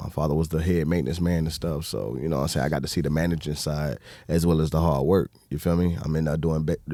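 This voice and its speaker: A man with a Southern US accent talks at a fairly quick pace in a very deep, low pitch. His tone is dark and mellow, and his intonation fairly even. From US South, Alabama. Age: 30s. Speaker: entrepreneur. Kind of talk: casual chat.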